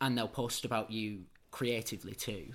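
A man with a Manchester accent speaks fairly slowly, with ordinary pitch variation. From north Manchester, England. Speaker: drama-trained festival co-founder. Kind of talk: casual interview chat.

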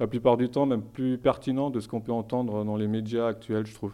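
Dark, mellow tone from a man at a moderate pace, flat and monotone, against a quiet background. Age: 30s. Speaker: theology student. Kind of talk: interview.

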